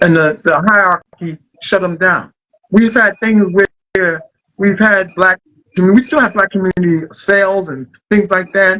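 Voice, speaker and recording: A man's high, raised and projected voice, bright and sharp in tone, with ordinary pitch variation and a dry, close sound with no echo. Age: 60s. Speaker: poet. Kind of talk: interview. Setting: filmed interview.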